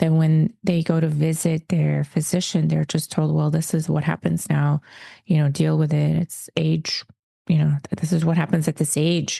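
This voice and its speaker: A woman speaks at a moderate pace in a very deep, low pitch with a dark, mellow tone and a somewhat breathy quality. Her intonation is monotone and flat, her loudness very even, and the sound dry and close with no echo. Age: 40s. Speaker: wellness leader and retreat host. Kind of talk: interview conversation.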